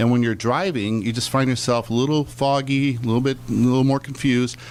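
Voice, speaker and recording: A man with a plain, everyday voice talks at a fairly quick pace. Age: 60s. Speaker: business owner. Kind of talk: radio interview.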